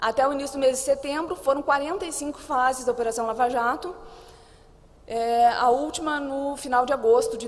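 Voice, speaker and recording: A woman talks at a moderate speed, and audible room echo follows her words. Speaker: conference panelist on anti-corruption investigations. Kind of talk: conference presentation.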